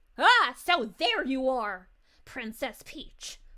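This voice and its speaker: A woman's put-on character voice, high in pitch, with lively intonation at a very slow pace. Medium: virtual streamer. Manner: gloating, low, under the breath.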